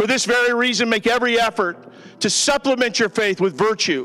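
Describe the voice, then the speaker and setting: Moderate pace, with faint music in the background. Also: man. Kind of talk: scripture reading and prayer. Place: church. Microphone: handheld.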